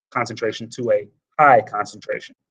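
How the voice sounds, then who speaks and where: Here is an ordinary speaking voice. Its pace is moderate. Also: man. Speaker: high school biology teacher. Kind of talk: lecture. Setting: live online class session.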